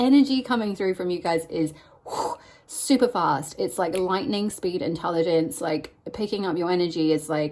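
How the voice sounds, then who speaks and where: The speaker is a woman. Her voice rests at a medium pitch. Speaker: tarot reader. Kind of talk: tarot card reading. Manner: fast.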